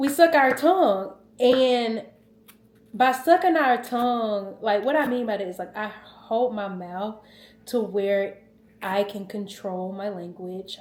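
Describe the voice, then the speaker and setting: A woman with a Southern US accent speaks at a fairly slow pace in an animated tone. Her fairly high voice has lively intonation. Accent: Southern twang. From US South. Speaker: lifestyle vlogger. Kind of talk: casual vlog storytelling.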